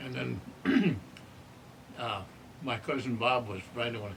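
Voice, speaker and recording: With an American accent, a man speaks at a moderate pace in a medium pitch. His intonation stays fairly even, and audible room echo fills the recording. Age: 90s. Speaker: elderly storyteller. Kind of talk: interview reminiscence.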